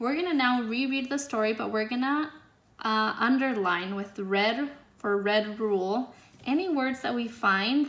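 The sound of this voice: Ordinary pitch variation shows in an unforced reading voice.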